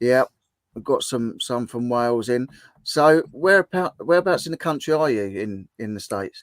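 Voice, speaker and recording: A man with an English accent speaks at medium pitch and a moderate pace, his intonation lively, the sound dry and close with no echo. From southern England. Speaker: livestream host. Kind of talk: casual chat.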